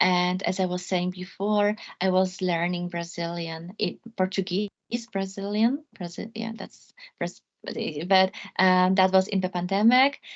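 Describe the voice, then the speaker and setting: The speaker has a Polish accent. Delivery is fairly slow, with fairly even intonation. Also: woman, medium pitch for a woman. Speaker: law lecturer. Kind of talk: academic talk closing remarks. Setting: video call. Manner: halting.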